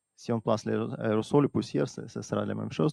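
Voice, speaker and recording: With a dark, mellow tone, a man speaks at a moderate pace with ordinary pitch variation in a dry, close sound with no echo. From Russia. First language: Russian (speaking French). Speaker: atmospheric scientist. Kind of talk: conference talk. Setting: stage with audience. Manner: halting.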